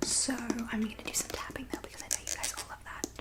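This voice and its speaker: A woman whispers over noticeable background noise. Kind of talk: ASMR talk to camera, soft-spoken and whispered reading. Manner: soft-spoken, whispery.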